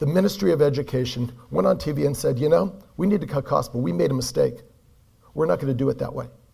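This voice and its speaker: A man with an American accent talks very fast in a fairly high voice with a dark, mellow tone, vocal fry and very wide pitch swings. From California, US. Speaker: performance coach. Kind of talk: conference keynote talk.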